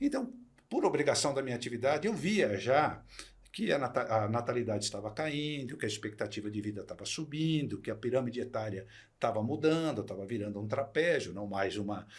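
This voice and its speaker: A man of medium pitch speaks at a fairly quick pace with lively intonation. His voice is somewhat breathy. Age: 60s. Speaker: retired executive turned entrepreneur. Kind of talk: podcast interview.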